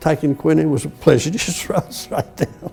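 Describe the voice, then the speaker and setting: With an Australian accent, a man speaks in a fairly high voice at a moderate pace. Music plays in the background. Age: 80s+. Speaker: war veteran. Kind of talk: interview answer.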